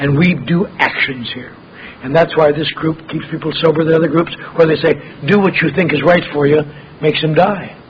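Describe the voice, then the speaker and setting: Over noticeable background noise, a man with a fairly high voice speaks at a moderate pace, his intonation fairly even. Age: 60s. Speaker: AA speaker. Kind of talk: recovery talk.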